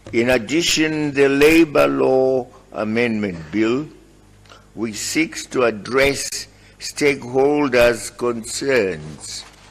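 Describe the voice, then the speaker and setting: A man talks very slowly with lively intonation while noticeable background noise carries on. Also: medium pitch for a man. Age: 80s+. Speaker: head of state. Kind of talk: formal speech to parliament.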